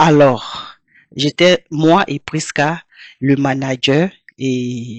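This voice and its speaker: The recording is dry and close with no echo, carrying a woman's very deep, low pitch with ordinary pitch variation. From Côte d'Ivoire, Abidjan. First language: Toura (speaking French). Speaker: singer. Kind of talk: interview.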